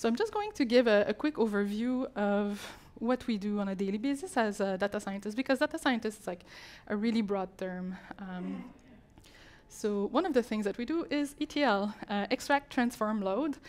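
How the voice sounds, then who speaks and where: A woman talks with ordinary pitch variation and a moderate speed. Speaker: conference speaker. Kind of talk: talk presentation. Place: hall. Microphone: handheld.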